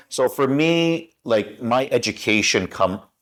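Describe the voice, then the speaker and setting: A man with a western Canadian accent speaks with lively intonation. The recording is very clean, with a silent background. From Canada, Vancouver (west coast). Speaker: broadcaster. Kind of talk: interview. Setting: studio.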